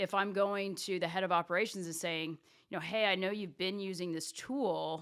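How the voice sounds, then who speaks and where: A woman with a normal speaking voice at medium pitch and fairly even intonation, on a very clean recording with a silent background. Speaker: revenue operations executive. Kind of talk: interview conversation.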